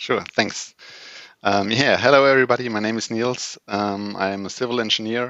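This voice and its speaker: A man with a German accent and a bright, sharp tone, fairly even in intonation, the sound dry and close with no echo. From Germany. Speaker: project manager and lean consultant. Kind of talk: panel discussion.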